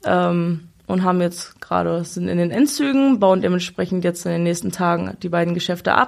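Speaking in a normal speaking voice, a woman with a fairly low pitch keeps a moderate pace and ordinary pitch variation. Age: 20s. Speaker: fairground showwoman. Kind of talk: casual interview.

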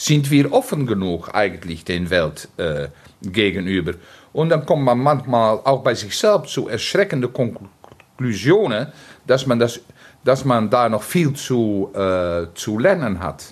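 At medium pitch, a man speaks at a very slow pace with very wide pitch swings. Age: 70s. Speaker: theatre director. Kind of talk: interview. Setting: theatre foyer. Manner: halting.

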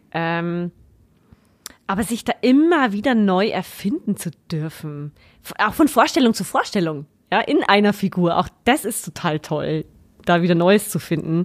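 A woman with a medium pitch speaks at a fairly slow pace with long, frequent pauses. The recording is very clean, with a silent background. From Upper Palatinate, Bavaria. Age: 30s. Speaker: actress and occupational therapist. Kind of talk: casual interview.

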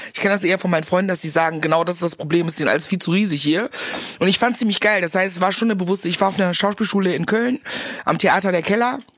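Noticeable background noise sits behind this recording. A woman with a medium pitch speaks at a very fast pace. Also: ordinary pitch variation. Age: 40s. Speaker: actress and comedian. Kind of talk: casual chat. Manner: animated.

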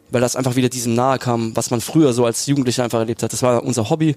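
Over noticeable background noise, a man at a medium pitch speaks at a very fast pace. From southern Germany, Lake Constance area. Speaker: professional footballer. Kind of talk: casual interview. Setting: stadium box.

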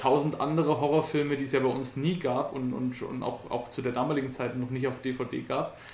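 With hardly any pauses, the voice stays in a flat monotone amid audible room echo. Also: man, medium pitch for a man, fairly quick pace. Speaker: podcaster. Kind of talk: casual chat.

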